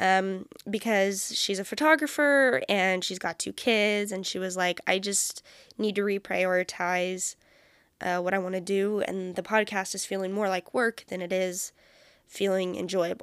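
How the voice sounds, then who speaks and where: Speaking at a fairly slow pace, a woman with a Californian accent uses a medium pitch and ordinary pitch variation. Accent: Californian American. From California, Bay Area. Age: 20s. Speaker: podcast host. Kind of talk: casual solo monologue. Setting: home recording. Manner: chatty, rambling with fillers.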